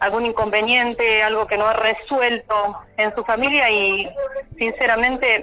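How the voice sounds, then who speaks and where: Over music in the background, a woman with a fairly high pitch speaks at a fairly slow pace, her intonation monotone and flat and her loudness very even. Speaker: pastor. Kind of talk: testimony. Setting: phone call. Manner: speaking quietly; halting, many fillers.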